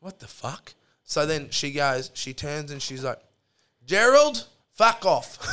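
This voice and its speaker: A man with a strong Australian accent and fairly high pitch, very slow with long, frequent pauses, lively intonation and big swings in loudness. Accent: broad Australian. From Australia, central Queensland. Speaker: electrician. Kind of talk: casual chat. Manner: animated storytelling.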